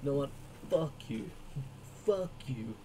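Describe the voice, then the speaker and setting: Over clear background noise, a man uses a put-on character voice pitched fairly high. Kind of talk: profane. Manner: mocking, dismissive.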